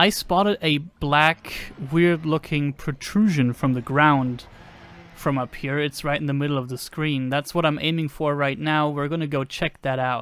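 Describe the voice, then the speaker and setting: A man talks with fairly even intonation at a fairly high pitch. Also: moderate pace. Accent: non-native. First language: not English. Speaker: gaming video creator. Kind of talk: gameplay commentary. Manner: casual, with hesitations.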